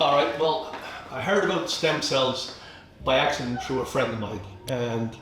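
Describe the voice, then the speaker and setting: A man's medium-pitched voice at a moderate pace, with noticeable background noise and audible room echo. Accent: Irish. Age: 60s. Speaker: clinic client. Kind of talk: testimony.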